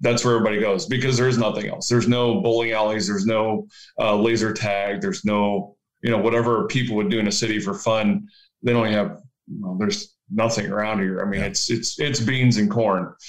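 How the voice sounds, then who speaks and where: A normal speaking voice, a man at medium pitch with an American accent, fairly quick pace and ordinary pitch variation. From rural Ohio, US Midwest. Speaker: rural pastor. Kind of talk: casual interview.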